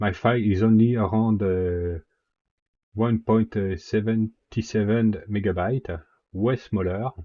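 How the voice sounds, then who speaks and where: With a French accent, a man speaks at a fairly low pitch using fairly even intonation. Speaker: 3D software tutorial maker. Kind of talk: software tutorial narration. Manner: casual, hesitant with fillers.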